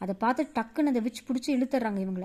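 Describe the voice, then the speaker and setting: Ordinary pitch variation runs through this voice, whose tone is dark and mellow. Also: woman. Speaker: storyteller. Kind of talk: bedtime story for children.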